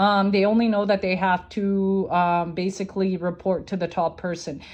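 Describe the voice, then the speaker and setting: A woman's medium-pitched voice with a non-native accent and monotone, flat intonation. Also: moderate pace. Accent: non-native, mispronounces words. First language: not English. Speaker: conspiracy theory content creator. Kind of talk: informal explainer video. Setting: recorded social media video. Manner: hesitant, many filler ums.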